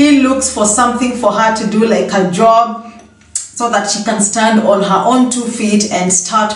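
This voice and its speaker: This woman's intonation stays fairly even as she talks at a fairly slow pace. Her voice carries audible room echo. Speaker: gossip vlogger. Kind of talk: casual vlog chat. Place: home room. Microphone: phone near.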